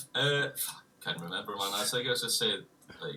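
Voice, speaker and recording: A man is talking here. He has a strong Scottish accent. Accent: heavy Scottish. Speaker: guitarist in a metal band. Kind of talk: casual livestream chat.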